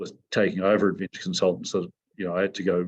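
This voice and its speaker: With a New Zealand accent, a man speaks at a very deep, low pitch in a monotone, flat intonation. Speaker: mountain guide and company CEO. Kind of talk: interview.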